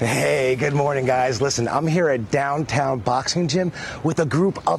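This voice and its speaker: With lively intonation, a man speaks in a fairly high voice at a moderate pace. Noticeable background noise can be heard. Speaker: TV correspondent. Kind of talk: live field report. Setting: on location at a boxing gym. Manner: animated.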